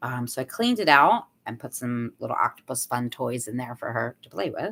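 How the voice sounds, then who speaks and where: The speaker is a woman with a very deep, low pitch. She keeps to a moderate pace. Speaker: vlogger, mother and hairdresser. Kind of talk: casual vlog monologue. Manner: hesitant, many fillers; talking quieter than usual.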